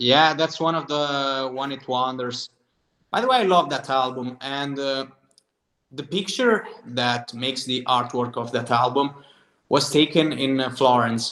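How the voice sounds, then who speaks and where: With an Italian accent, the speaker goes at a fairly slow pace. The tone is bright and sharp, and the intonation stays fairly even. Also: man, medium pitch for a man. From southern Italy. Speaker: singer-songwriter. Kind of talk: casual interview chat.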